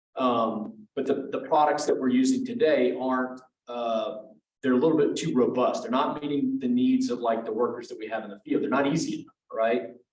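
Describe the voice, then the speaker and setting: A man with a Louisiana accent at a fairly quick pace, with big swings in loudness and audible room echo. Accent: Louisiana Southern US. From Louisiana, Lake Charles. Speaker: tech company representative presenting. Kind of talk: presentation at professional meeting. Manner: casual, many fillers.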